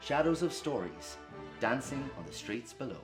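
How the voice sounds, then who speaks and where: A man's voice swings very widely in pitch. Music plays in the background. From Dundalk, Ireland. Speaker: actor. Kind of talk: event introduction.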